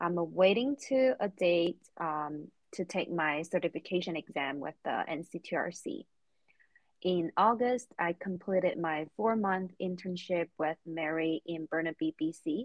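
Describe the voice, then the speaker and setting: A woman with a Chinese accent, fairly low in pitch, with ordinary pitch variation at a fairly slow pace. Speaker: recreation therapy graduate, podcast co-host. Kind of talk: self-introduction on podcast.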